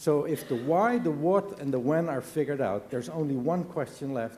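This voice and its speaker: Lively intonation runs through this speech. It carries a non-native accent. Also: man. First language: not English. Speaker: business leader. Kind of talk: conference speech.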